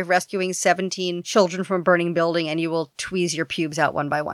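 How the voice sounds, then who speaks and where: In a New York accent, a woman talks at a very fast pace in an animated tone, on a very clean recording with a silent background and a dry, close sound with no echo. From New York City, Queens. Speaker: podcast host and TV executive. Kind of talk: casual interview chat.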